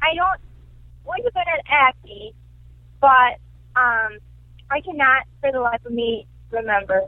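Fairly slow, lively speech in an American accent, with long, frequent pauses. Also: woman, high pitch for a woman. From US Midwest (Wisconsin). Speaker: comedian. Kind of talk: interview.

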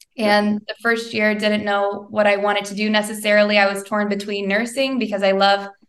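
This voice has a Midwestern American accent and moves at a fairly quick pace. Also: woman. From southern Indiana (Bedford). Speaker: social media business owner and author. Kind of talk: interview.

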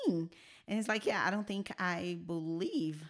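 With ordinary pitch variation, a woman speaks at a fairly low pitch on a very clean recording with a silent background. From Brazil. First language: Portuguese. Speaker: church media worker sharing her personal story. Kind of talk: interview testimony.

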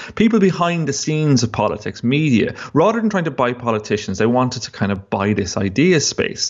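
At a moderate pace and in an Irish Midlands accent, the speaker's pitch swings very widely. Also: man. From Ireland, County Longford. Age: 30s. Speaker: investigative journalist. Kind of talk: interview.

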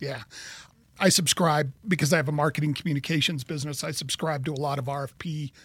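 A somewhat breathy man's voice, fairly high in pitch, with fairly even intonation. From Kansas. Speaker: podcast host, marketing business owner. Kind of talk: interview.

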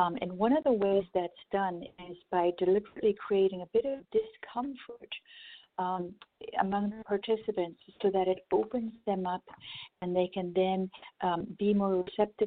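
A woman with an American accent speaks at a moderate pace in a medium pitch with ordinary variation. It is a plain, everyday voice. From US South, small-town Florida. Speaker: conflict resolution workshop founder. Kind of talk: radio interview.

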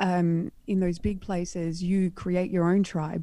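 A woman with an Australian accent speaks in a dark, mellow tone at a fairly low pitch. The recording is very clean, with a silent background. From Western Australia, rural wheatbelt. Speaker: wardrobe stylist and art model. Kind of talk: casual chat.

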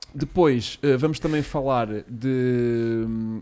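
Intonation is fairly even. The voice carries a dark, mellow tone. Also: man. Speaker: podcast host. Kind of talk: casual chat.

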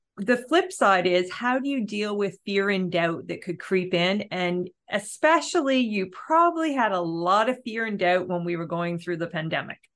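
A woman with an unremarkable speaking voice and a Canadian accent talks at a moderate pace and medium pitch. Her intonation is lively against a quiet background. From Ontario, Canada. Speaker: podcast host. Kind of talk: interview.

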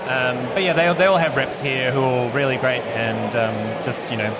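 Against noticeable background noise and audible room echo, a man speaks at a medium pitch and a moderate pace with ordinary pitch variation. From New Zealand. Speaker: head brewer. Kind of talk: casual chat. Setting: outdoors.

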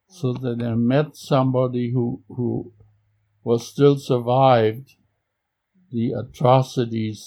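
In a German accent, a man speaks at a very slow pace with a medium pitch. His tone is dark and mellow, and his intonation is flat and monotone. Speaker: Holocaust survivor. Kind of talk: interview conversation. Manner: halting.

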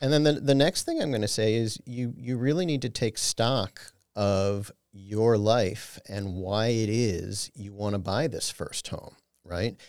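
In a normal speaking voice, the speaker goes at a fairly slow pace with ordinary pitch variation, on a very clean recording with a silent background. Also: man, medium pitch for a man. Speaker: financial advisor. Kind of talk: educational interview.

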